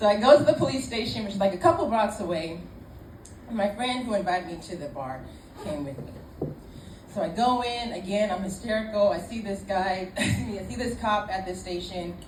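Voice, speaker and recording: Lively intonation, big swings in loudness and a moderate pace against noticeable background noise. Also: woman, medium pitch for a woman. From Ireland. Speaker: storyteller. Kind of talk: live comedic storytelling. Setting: live pub audience. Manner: casual, conversational.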